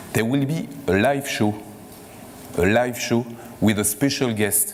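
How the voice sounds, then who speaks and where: With audible room echo and noticeable background noise, a man talks at a very slow pace and medium pitch with ordinary pitch variation. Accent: French. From France. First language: French. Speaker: corporate executive hosting a conference. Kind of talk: closing remarks at a conference. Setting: stage with audience. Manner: halting, many fillers.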